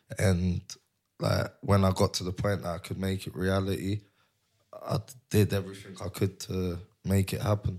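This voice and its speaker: With a London accent, a man speaks in a very deep, low pitch at a moderate pace, his intonation fairly even and his pauses long and frequent, on a very clean recording with a silent background. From North London. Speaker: cannabis shop brand owner. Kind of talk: casual interview.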